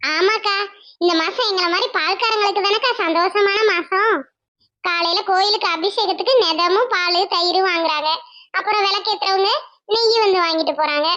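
A woman's cartoonish character voice, extremely high in pitch, with very even loudness, ordinary pitch variation and a moderate pace. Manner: polite, warm, calls the other woman "akka".

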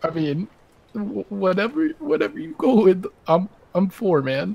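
A man with a high pitch and vocal fry speaks at a fairly slow pace, his pitch swinging widely.

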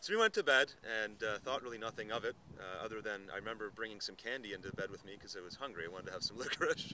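Talking at a fast pace, a man with a fairly low pitch uses lively intonation and a bright, sharp tone.

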